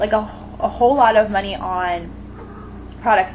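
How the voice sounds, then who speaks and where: Audible room echo surrounds a woman's fairly high voice, which shows ordinary pitch variation. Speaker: beauty vlogger. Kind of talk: casual vlog monologue. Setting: home kitchen. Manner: halting, rambling with fillers.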